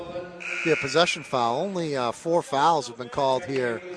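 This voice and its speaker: The voice moves at a fairly slow pace with ordinary pitch variation. Music plays in the background. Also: man. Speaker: radio play-by-play announcer. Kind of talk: live sports play-by-play commentary. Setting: courtside at a high school gym. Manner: chatty, relaxed between plays, with fillers.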